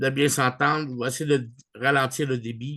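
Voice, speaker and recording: A man with a strong Canadian French accent speaks at a fairly slow pace and fairly high pitch for a man. His intonation is fairly even, and the background is quiet. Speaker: online group leader. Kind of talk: video call meeting. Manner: hesitant, many fillers; mixes English words into French.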